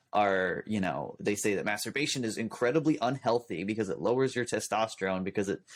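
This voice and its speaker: A man speaks at a medium pitch with lively intonation and a fairly quick pace. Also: hardly any pauses. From California. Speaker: youtuber. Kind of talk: casual chat. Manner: fast.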